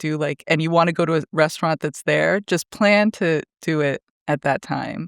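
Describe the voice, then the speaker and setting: At a moderate pace, this speaker talks with a Canadian accent over a quiet background. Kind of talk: casual chat.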